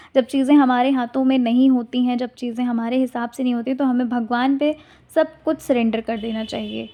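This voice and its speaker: A soft-spoken woman with a high pitch and a dark, mellow tone talks in a monotone, flat intonation with hardly any pauses. The background is quiet. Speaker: tarot card reader. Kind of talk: tarot reading addressed to viewers. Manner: soft-spoken, speaking slowly; casual, conversational.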